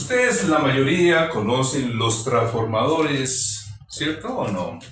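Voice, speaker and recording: A man's voice swings very widely in pitch amid noticeable background noise and audible room echo. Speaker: electronics instructor. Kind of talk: lecture. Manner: slow.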